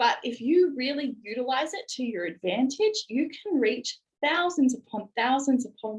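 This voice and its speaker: Lively, high-pitched female speech at a moderate pace. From Australia. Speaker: network marketing business leader. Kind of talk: motivational presentation. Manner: animated.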